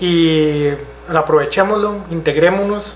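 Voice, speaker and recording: Amid audible room echo and noticeable background noise, a man with a fairly high voice speaks at a fairly slow pace with ordinary pitch variation. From Costa Rica, Santa Ana. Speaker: council candidate. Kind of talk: political interview.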